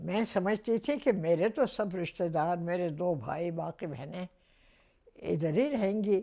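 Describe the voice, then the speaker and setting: Lively intonation in a dark, mellow tone, on a very clean recording with a silent background. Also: woman, fairly low pitch for a woman. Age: 80s+. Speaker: actress. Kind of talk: interview answer.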